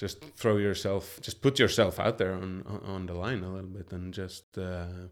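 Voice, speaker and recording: On a very clean recording with a silent background, a man with a Swedish accent and a very deep, low voice speaks at a moderate pace with fairly even intonation and big swings in loudness. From Sweden. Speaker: chef and culinary researcher. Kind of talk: interview.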